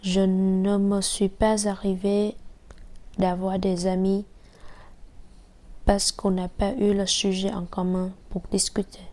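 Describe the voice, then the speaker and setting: A woman with a Vietnamese accent speaks very slowly in a medium pitch and a dark, mellow tone. Her intonation is monotone and flat, and the recording is very clean with a silent background. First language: Vietnamese (speaking French). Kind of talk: personal testimony.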